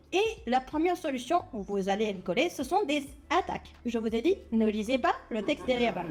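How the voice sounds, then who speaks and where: Over noticeable background noise, someone speaks at a moderate pace with a non-native accent. The pitch swings very widely. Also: woman, high pitch for a woman. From Netherlands. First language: not French (speaking French). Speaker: cybersecurity researcher and lecturer. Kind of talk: popular science talk. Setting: stage with audience. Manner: hesitant, many fillers.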